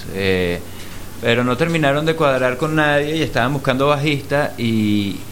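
A man's moderate-paced speech, with ordinary pitch variation, comes through audible room echo and noticeable background noise. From Venezuela. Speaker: musician and producer. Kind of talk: casual interview.

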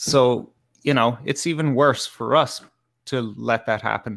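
A man with an Irish accent, medium pitch, ordinary pitch variation and a moderate pace, on a very clean recording with a silent background. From Ireland. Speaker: podcast guest. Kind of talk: casual chat.

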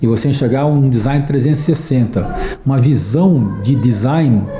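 A man talks over noticeable background noise. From Brazil, interior of São Paulo state. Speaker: advertising industry executive and design thinking specialist. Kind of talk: interview. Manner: halting, many fillers and repetitions.

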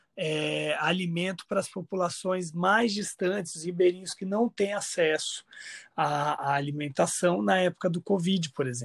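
High-pitched, a man's voice sounds dry and close with no echo on a very clean recording with a silent background. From Brazil, Mato Grosso do Sul (Campo Grande). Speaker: chef and food researcher. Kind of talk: podcast interview. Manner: hesitant, many fillers.

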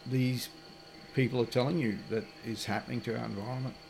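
Over noticeable background noise, a man with an Australian accent speaks at medium pitch with ordinary pitch variation. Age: 60s. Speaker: off-grid landowner and river paddler. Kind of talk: casual interview. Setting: recorded at a wilderness lodge. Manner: halting, many fillers.

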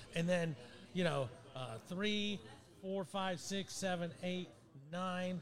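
Noticeable background noise surrounds a man with an American accent. He speaks at a very slow pace with a high pitch. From Ohio. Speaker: sports talk co-host. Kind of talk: casual chat.

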